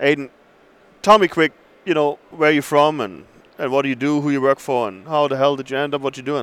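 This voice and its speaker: A man with an ordinary speaking voice, fairly high-pitched and fairly quick, with ordinary pitch variation. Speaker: podcast host. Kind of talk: casual interviews and ad reads. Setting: conference show floor. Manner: friendly, laid-back.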